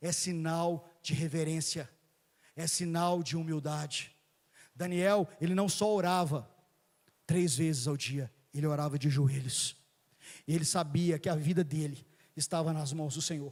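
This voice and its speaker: A man's fairly high voice, fairly slow and fairly even in intonation, with long, frequent pauses, in a very clean recording over a silent background. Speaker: preacher. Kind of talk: sermon.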